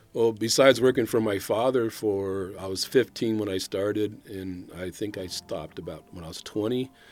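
A man with an American accent and an ordinary speaking voice talks at a moderate pace, his fairly low pitch showing ordinary variation. His loudness swings widely in a very clean recording with a silent background. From Northern California, Sacramento area. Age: 60s. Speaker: retired city official. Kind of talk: interview.

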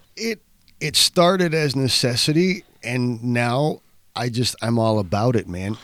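An ordinary speaking voice from a man at medium pitch, with lively intonation and a fairly slow pace, in a very clean recording with a silent background. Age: 40s. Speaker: abstract painter. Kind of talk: casual chat.

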